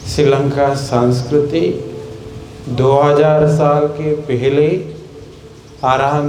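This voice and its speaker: A man's fairly high, fairly even voice with long, frequent pauses, audible room echo and noticeable background noise. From Sri Lanka. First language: Sinhala (speaking Hindi). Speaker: Buddhist monk. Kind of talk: sermon.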